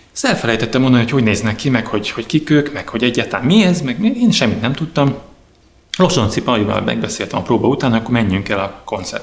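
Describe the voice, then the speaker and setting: A man talking very fast with lively intonation amid noticeable background noise. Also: medium pitch for a man. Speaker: drummer. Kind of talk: interview storytelling. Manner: halting.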